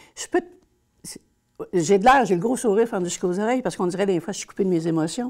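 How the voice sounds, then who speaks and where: A woman's medium-pitched voice in a Quebec accent, very fast in pace with long, frequent pauses, big swings in loudness and ordinary pitch variation, in a very clean recording with a silent background. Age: 60s. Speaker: social worker. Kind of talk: interview testimony. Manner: hesitant.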